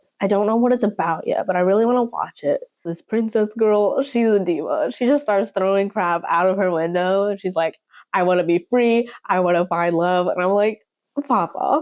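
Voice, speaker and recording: A woman's animated voice with an American accent, medium pitch, ordinary pitch variation, moderate pace and very even loudness. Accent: slight southern accent, occasionally. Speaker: YouTuber. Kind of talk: casual vlog talk.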